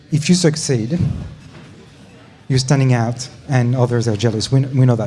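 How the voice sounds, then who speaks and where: Over music in the background and audible room echo, a man with a French accent talks at a moderate pace with ordinary pitch variation. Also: medium pitch for a man. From France. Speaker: startup program leader. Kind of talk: panel discussion.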